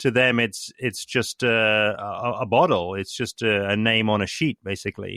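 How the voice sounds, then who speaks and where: With an unremarkable speaking voice, a man talks at a medium pitch and moderate pace, using fairly even intonation and hardly any pauses. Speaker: podcast host. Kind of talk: podcast interview conversation.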